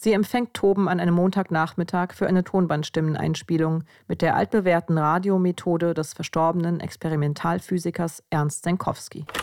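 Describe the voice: Close and dry with no echo, a woman's fairly low-pitched voice moves at a fairly quick pace with fairly even intonation and a slightly mellow tone. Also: few pauses.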